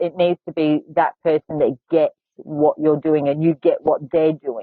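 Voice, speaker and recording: A woman speaks with an Australian accent at a moderate pace. Her pitch is fairly low, with ordinary pitch variation. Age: 40s. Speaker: podcast host; author. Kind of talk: casual chat.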